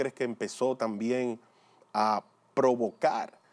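This man talks very slowly. He has a medium pitch. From Dominican Republic. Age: 40s. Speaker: lay preacher and former motivational speaker; lay preacher, motivational speaker. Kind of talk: religious testimony. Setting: pre-recorded video. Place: studio. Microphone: lapel.

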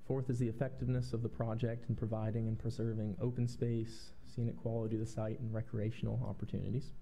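Over light background noise, a man speaks very fast with hardly any pauses, very even loudness and monotone, flat intonation. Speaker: town planner; presenter. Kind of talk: staff presentation at a public meeting. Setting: public meeting room with microphones. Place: meeting room.

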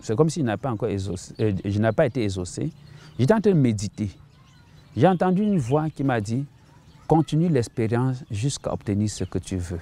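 In a dry sound with no echo, a dark, mellow tone moves at a moderate pace with long, frequent pauses and very wide pitch swings. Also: man, medium pitch for a man. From Cameroon (Bamenda, anglophone northwest); Cameroon. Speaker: missionary pastor. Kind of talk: testimony. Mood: earnest, reflective testimony. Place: garden. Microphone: lapel.

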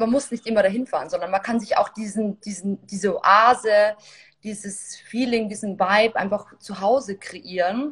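A woman speaks at a fairly slow pace. Her voice has a slightly husky edge. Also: medium pitch for a woman, ordinary pitch variation.

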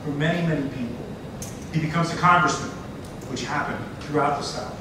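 Strong room echo and noticeable background noise accompany a man speaking. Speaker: event moderator and activist. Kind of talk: public presentation. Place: hall. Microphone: camera far.

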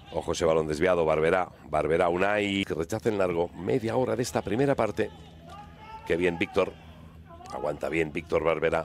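A man's very deep, low voice with ordinary pitch variation and very even loudness, over noticeable background noise. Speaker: football commentator. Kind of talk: live football commentary. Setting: broadcast of a match. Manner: animated; excitable, rapid-fire.

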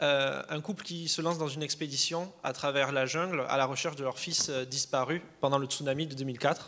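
At a moderate pace with hardly any pauses, a man speaks in a fairly high, bright, sharp voice with fairly even intonation. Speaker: film student; panel moderator. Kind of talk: interview. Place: stage. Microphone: handheld.

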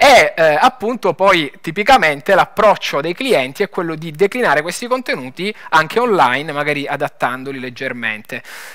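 Over a quiet background, a man with a Lombard accent speaks at a moderate pace with hardly any pauses. His fairly high voice has a bright, sharp tone and very wide pitch swings. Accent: Bergamo. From northern Italy, Bergamo; Italy. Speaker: tech startup founder. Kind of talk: conference talk. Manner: hesitant, many fillers. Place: stage. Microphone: headset.

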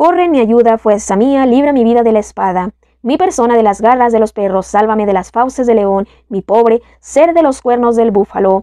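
Dry and close with no echo, a woman's fairly high voice has a dark, mellow tone, lively intonation and a moderate pace. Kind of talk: scripted narration of psalm, fervent prayer.

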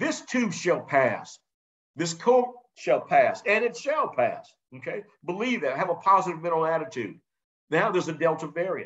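Against a quiet background, a man with an American accent and a high pitch speaks at a moderate pace with lively intonation. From South Carolina, North Charleston; South Carolina. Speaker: business instructor. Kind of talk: webinar presentation. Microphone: video call.

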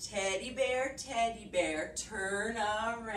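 Ordinary pitch variation marks a natural reading voice.

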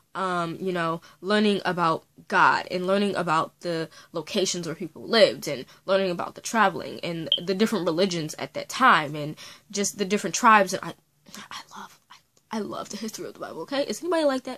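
Her tone bright and sharp, a woman speaks at a fairly quick pace with lively intonation and big swings in loudness. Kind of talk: casual talk to camera. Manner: chatty, casual.

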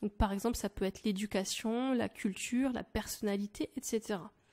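Recorded very cleanly over a silent background, dry and close with no echo, a woman speaks at a fairly slow pace in an animated tone at a fairly high pitch. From France. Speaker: language teacher. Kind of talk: sales pitch.

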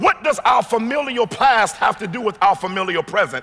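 Pitched extremely high, a man speaks with an American accent in a raised, projected voice. His tone is animated. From Washington, D.C. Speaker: pastor. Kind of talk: sermon. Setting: stage with audience. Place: hall. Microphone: headset.

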